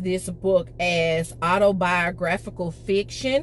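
A woman talks at a very slow pace, with faint music behind her. The sound is dry, with no echo. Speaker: book vlogger. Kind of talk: casual vlog chat. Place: car. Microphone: phone near.

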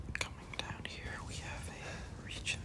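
Whispered words come at a fairly slow rate, and noticeable noise fills the background. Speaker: ASMR creator. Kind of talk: ASMR gameplay commentary.

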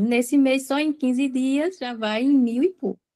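A woman speaks at a fairly slow pace in a high pitch. Her tone is dark and mellow. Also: quiet background. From Sergipe, northeast Brazil. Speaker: online marketplace seller. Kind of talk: casual chat. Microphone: video call.

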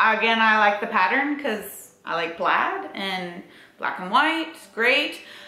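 Very slow speech from a woman, with audible room echo. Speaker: fitness vlogger. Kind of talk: casual vlog chat. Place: home room. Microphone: camera far.

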